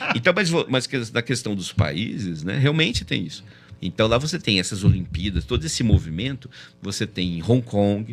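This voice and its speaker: The speaker is a man. His pitch is medium. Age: 60s. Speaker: math olympiad organizer. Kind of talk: casual chat. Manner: halting.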